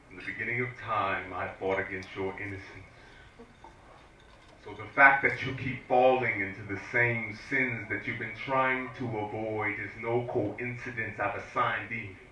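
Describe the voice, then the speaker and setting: There is noticeable background noise behind a man speaking at a medium pitch and a moderate pace. His intonation is fairly even, while his loudness swings widely. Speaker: spoken word poet. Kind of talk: spoken word poetry performance. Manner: forceful, emphatic.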